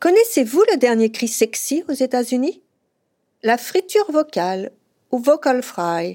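A woman's high-pitched voice with very wide pitch swings at a fairly slow pace. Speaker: podcast host and journalist. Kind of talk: scripted narration.

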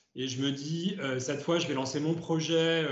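Fairly even intonation with audible room echo. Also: man. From France, Ardèche. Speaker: startup co-founder and CEO. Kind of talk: interview. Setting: video call.

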